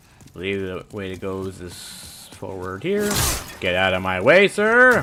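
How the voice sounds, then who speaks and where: A man talks at a fairly slow pace, his loudness swinging widely over noticeable background noise. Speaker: gaming streamer. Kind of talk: live game commentary. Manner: off-the-cuff rambling.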